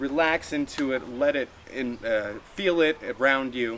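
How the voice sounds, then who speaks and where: Ordinary pitch movement in a male voice, noticeable noise behind it. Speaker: hypnotist. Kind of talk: live hypnosis demonstration. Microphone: no microphone.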